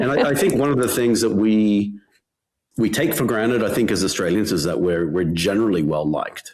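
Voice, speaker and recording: With audible room echo, a man speaks in a fairly low pitch at a fairly quick pace, his intonation lively and his loudness very even. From Australia, Western Sydney. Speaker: tech founder. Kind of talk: interview. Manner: halting, many repetitions.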